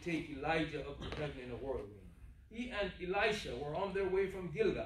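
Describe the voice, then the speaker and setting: With audible room echo, a man talks at a moderate pace using lively intonation. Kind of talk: scripture reading. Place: church.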